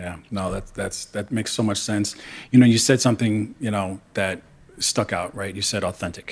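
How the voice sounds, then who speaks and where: The man has an ordinary speaking voice, fairly low in pitch, with fairly even intonation at a moderate pace. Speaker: podcast interviewer. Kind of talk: interview host talk.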